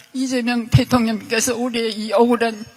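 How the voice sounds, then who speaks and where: A woman's fairly high, monotone voice with flat intonation at a moderate pace, over noticeable background noise. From South Korea, Seoul. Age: 80s+. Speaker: state violence victim. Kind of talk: testimony. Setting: luncheon event with president.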